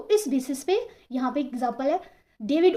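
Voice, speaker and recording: Lively intonation in a woman's dark, mellow tone, at a moderate pace. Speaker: English teacher. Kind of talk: vocabulary lesson.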